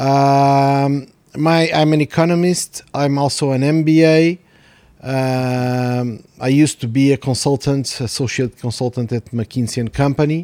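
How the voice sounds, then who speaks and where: In a Portuguese accent, a man speaks at a fairly slow pace with fairly high pitch, a dark, mellow tone and fairly even intonation, in a dry, close sound with no echo. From Portugal. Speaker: podcast host, economist. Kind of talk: casual chat.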